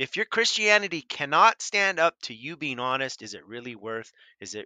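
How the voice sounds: In a dry, close sound with no echo, a man speaks at a medium pitch and moderate pace, his bright, sharp tone moving in big pitch swings.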